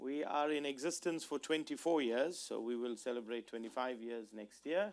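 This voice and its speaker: A medium-pitched male voice at a moderate pace, with ordinary pitch variation, on a very clean recording with a silent background. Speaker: conflict mediator, institute director. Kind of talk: keynote lecture. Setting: seminar room with audience, microphone.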